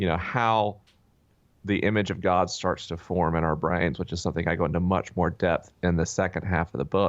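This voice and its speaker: Speaking at a fairly quick pace with a North Florida accent, a man has a very deep, low pitch over a quiet background. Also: fairly even intonation. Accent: Southern US (North Florida). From North Florida (Tallahassee). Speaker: author and podcast host. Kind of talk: interview conversation. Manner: frequent fillers (uh, um).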